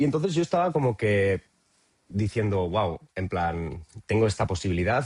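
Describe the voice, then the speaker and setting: The man's voice is somewhat breathy. He talks at a fairly quick pace. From Spain, Cuenca province (Castilla-La Mancha). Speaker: traveller interviewee. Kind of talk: podcast interview. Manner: halting, many fillers and repetitions.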